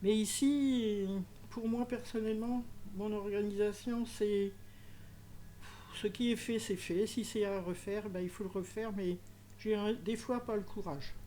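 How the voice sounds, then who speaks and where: At a very slow pace with long, frequent pauses, a woman speaks at a fairly high pitch with fairly even intonation and a dark, mellow tone. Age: 70s. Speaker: retired championship organiser, home-organising client. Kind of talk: interview. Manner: hesitant, with fillers.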